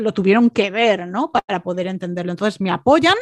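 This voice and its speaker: In a dry, close sound with no echo, a woman speaks very fast at medium pitch with ordinary pitch variation. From Andalusia, Málaga. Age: 40s. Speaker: entrepreneurship coach. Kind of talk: interview.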